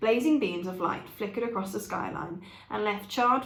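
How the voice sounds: The reading voice sounds natural, and its pitch varies in an ordinary way.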